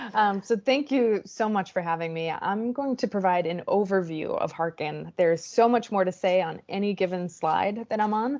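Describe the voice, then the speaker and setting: Her medium pitch shows ordinary variation as the woman talks with hardly any pauses. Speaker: startup co-founder and CEO giving a presentation. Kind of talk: conference presentation. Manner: fast.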